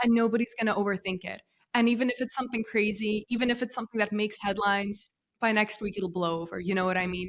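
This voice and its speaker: Very fast speech from a woman with an American accent, fairly high in pitch, her intonation fairly even. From US (moved from Russia as small child). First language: Russian. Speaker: content marketing founder. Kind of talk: podcast interview. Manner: clear.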